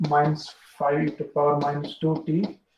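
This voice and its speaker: A somewhat breathy man with an Indian accent and fairly high pitch. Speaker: university lecturer. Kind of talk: lecture. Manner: fast.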